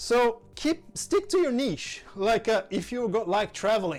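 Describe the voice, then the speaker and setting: A man's voice with music playing in the background. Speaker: content creator, social media tutorial host. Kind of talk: tutorial. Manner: casual, enthusiastic.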